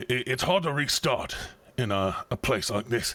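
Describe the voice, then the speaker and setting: In a raspy, put-on character voice, the speaker goes at a moderate pace while faint music plays in the background. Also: man. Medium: actual play. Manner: hesitant, rambling, folksy.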